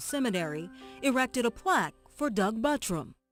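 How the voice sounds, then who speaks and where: Over music in the background, the voice moves at a moderate pace. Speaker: reporter / narrator. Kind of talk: radio news feature narration.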